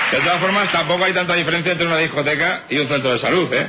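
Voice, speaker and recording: Against noticeable background noise and audible room echo, a man talks very fast with a high pitch and an animated tone. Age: young. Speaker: radio comedy contributor. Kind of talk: comedy monologue.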